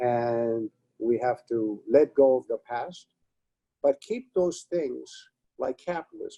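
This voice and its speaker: A man with a Romanian accent, recorded dry and close with no echo. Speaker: retired advertising executive. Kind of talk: webinar interview.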